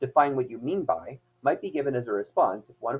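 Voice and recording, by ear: A voice reads aloud, sounding natural.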